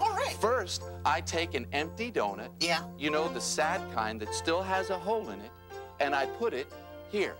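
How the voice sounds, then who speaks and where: Music plays clearly behind the voice. The words come at a fairly slow pace. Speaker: children's show host. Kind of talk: scripted kids' TV dialogue. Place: studio. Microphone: lapel.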